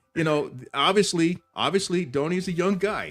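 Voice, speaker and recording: With music playing in the background, a man speaks at a moderate pace with an American accent. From Houston, Texas. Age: 60s. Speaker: podcast host. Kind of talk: casual chat. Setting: live stream.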